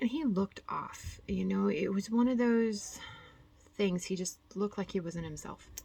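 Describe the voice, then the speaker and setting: A woman speaks softly, with a somewhat breathy quality. Her tone is dark and mellow. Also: medium pitch for a woman, ordinary pitch variation, moderate pace. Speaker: cross-stitch vlogger. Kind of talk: casual chat. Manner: soft-spoken.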